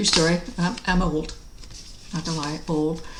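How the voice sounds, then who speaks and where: A woman's fairly low voice amid noticeable background noise and audible room echo. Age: 60s. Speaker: cross stitch hobby vlogger. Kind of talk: casual video vlog. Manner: relaxed, with frequent fillers.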